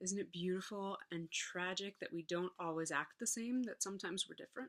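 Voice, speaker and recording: At a moderate pace, a woman speaks in a medium pitch with an unremarkable speaking voice. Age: 20s. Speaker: psychology student and classical musician. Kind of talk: funeral tribute speech read from notes.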